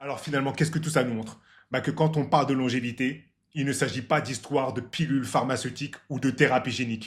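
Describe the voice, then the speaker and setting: Against a silent background in a very clean recording, a somewhat breathy man at medium pitch speaks at a very fast pace with big swings in loudness. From Martinique roots. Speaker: health and longevity YouTuber. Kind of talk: casual explainer vlog. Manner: animated.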